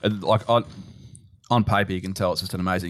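Talking at a very fast pace, a man with an Australian accent uses a very deep, low pitch in a very clean recording with a silent background. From Melbourne, Australia. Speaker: betting trader. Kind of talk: casual chat.

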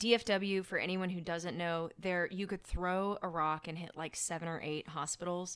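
A woman with an American accent and a plain, everyday voice, fairly low in pitch, at a moderate pace with fairly even intonation and hardly any pauses. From Oklahoma, Tulsa. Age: 30s. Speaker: ER nurse. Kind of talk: casual chat.

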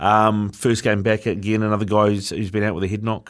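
Fairly low male voice in a New Zealand accent at a moderate pace, on a very clean recording with a silent background. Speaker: sports radio host. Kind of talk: sports talk radio. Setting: radio studio.

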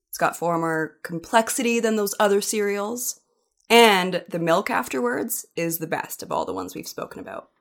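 A woman with a Canadian accent and an unremarkable speaking voice, medium in pitch, with ordinary pitch variation, big swings in loudness and a moderate pace, on a very clean recording with a silent background. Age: 30s. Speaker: sports reporter. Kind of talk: casual chat.

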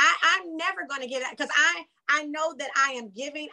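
A woman's raised, projected voice with a bright, sharp tone, ordinary pitch variation and a moderate pace. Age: 40s. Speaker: reality TV cast member. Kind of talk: interview.

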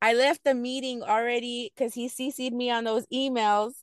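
In a quiet background with a dry, close sound and no echo, a woman speaks in a plain, everyday voice with an American accent, fairly high pitch, fairly even intonation and a moderate pace. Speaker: mother and returning student. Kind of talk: interview.

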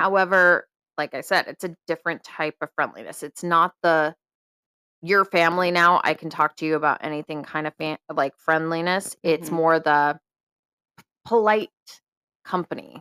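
With an American accent, this voice has a bright, sharp tone and fairly even intonation, recorded very cleanly against a silent background with a dry, close sound free of echo, broken by long, frequent pauses. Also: woman, fairly low pitch for a woman, moderate pace. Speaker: podcast co-host. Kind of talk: casual chat.

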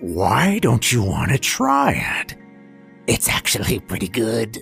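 A raspy put-on character voice from a man at medium pitch, with lively intonation, a fairly slow pace and faint music in the background. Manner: strange, eerie.

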